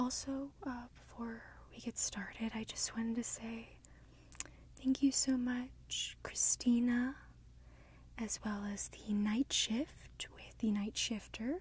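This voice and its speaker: A woman speaks at a very slow pace in a dry recording with no echo. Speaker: ASMR creator. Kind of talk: soft-spoken ASMR guided session.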